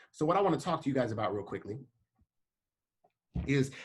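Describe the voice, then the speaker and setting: Somewhat breathy and animated in tone, a man speaks at a fairly high pitch. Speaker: leadership program leader, speaker. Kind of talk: motivational talk. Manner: fast.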